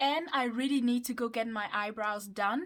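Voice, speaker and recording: This voice carries a Mauritian accent at a fairly slow pace. Its pitch varies in an ordinary way. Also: woman. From Mauritius. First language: Mauritian Creole. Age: 20s. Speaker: YouTuber. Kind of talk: casual vlog chat.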